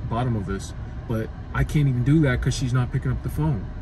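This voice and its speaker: A man's voice, dry and echo-free, with noticeable background noise. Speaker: vlogger. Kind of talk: casual vlog chat. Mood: annoyed, venting. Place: car. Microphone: phone near.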